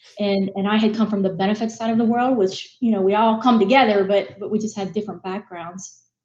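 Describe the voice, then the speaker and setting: A woman talks at a very fast pace with hardly any pauses, her medium-pitched voice somewhat breathy and her intonation fairly even. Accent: American. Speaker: business executive. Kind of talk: interview. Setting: live broadcast.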